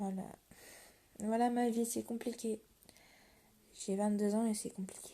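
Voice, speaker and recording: A woman's voice is somewhat breathy, dark and mellow in tone, and fairly high in pitch, with monotone, flat intonation. She goes at a fairly slow pace, with long, frequent pauses. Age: 20s. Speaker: livestreamer talking to viewers. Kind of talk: casual live-stream confession to viewers. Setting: live stream at 1 a.m. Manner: halting, hesitant.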